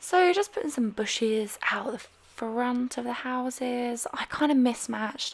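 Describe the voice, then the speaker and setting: The speaker is a woman. There is noticeable background noise behind her. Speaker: gaming YouTuber. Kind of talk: casual voiceover commentary. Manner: careful, over-enunciated; rambling, chatty.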